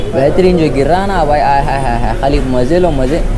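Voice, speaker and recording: Noticeable background noise runs throughout. The talking proceeds at a moderate pace. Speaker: food vlogger. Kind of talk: casual vlog chat. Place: kitchen. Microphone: phone near.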